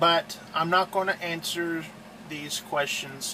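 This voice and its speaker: With an American accent, a man at high pitch speaks with fairly even intonation over noticeable background noise. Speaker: truck driver and video host. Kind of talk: casual tutorial. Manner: slow; halting, filler-heavy.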